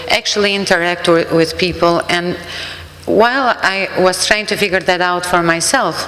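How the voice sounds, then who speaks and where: A woman with an Albanian accent, fairly low in pitch, at a moderate pace with fairly even intonation, amid noticeable background noise and audible room echo. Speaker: refugee services worker. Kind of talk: sermon.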